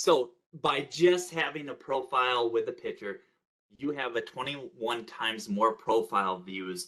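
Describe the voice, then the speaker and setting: A man speaks at a very slow pace. His tone is bright and sharp, with lively intonation. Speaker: workshop presenter. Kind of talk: online workshop presentation.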